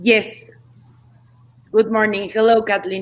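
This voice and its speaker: A woman is speaking. She talks with a strong Mexican accent. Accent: thick Mexican Spanish. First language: Spanish. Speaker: politician. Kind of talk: panel introduction.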